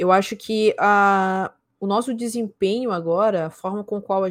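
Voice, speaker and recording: A woman talks at a moderate pace and a medium pitch in an ordinary speaking voice. The recording is very clean, with a silent background. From São Luís, Maranhão, Brazil. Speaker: esports caster and streamer. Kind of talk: casual interview chat.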